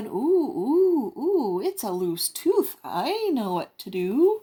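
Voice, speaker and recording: A woman in a put-on character voice speaks very slowly and high, her pitch swinging very widely. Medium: read story.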